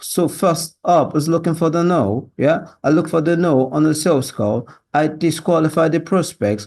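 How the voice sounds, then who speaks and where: A man with a British accent speaks at a fairly high pitch with vocal fry and ordinary pitch variation. His pace is moderate with hardly any pauses, his loudness very even, the background quiet. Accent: learned British. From Nigeria. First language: Yoruba. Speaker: sales job applicant. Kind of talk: video job application. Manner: halting.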